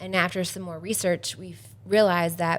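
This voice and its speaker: A woman speaks in a normal speaking voice at a moderate pace, her fairly low pitch carried by fairly even intonation. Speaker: healthcare organization staff member. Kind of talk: podcast interview.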